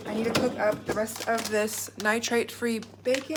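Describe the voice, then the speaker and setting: The voice has an upbeat tone, with noticeable background noise and audible room echo. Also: woman. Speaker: cooking vlogger. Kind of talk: casual vlog tutorial. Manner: fast.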